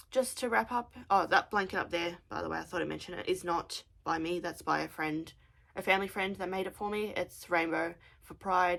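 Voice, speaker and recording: Moderately paced speech from a woman with an Australian accent. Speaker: craft podcaster. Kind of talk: casual chat.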